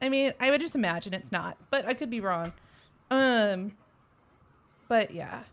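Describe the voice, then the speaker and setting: A woman with a slight Texan accent speaks at a moderate pace and a fairly high pitch, with lively intonation. She leaves long, frequent pauses, and the recording is very clean with a silent background. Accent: Texas accent, slight. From Texas. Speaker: podcast host. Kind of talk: casual chat.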